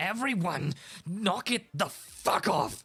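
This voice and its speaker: A man's raspy, high, put-on character voice with very wide pitch swings and a fairly slow pace. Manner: shouting, commanding.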